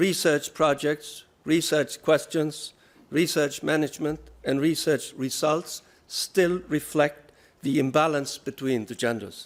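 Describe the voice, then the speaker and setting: Speaking with a Norwegian accent, a man talks at a fairly slow pace and a fairly high pitch. The recording is very clean, with a silent background. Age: 60s. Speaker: research funding agency director. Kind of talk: keynote speech.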